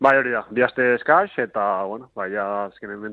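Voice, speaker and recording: A man is speaking. His voice sits fairly low in pitch. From Basque Country (Zumaia, Gipuzkoa). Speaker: sprint canoeist. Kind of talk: interview. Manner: halting, many fillers.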